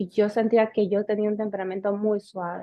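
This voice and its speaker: A woman's medium-pitched voice at a fairly slow pace, with monotone, flat intonation. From Honduras, city. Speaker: podcast co-host. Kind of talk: casual chat.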